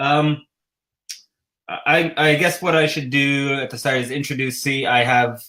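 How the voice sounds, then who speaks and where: With a Canadian accent, a man speaks at a fairly high pitch and a fairly slow pace. His intonation is fairly even, and he leaves long, frequent pauses. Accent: Canadian, says 'a boot'. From Canada, Ottawa. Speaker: cross-stitch designer and show host. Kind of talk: casual livestream chat.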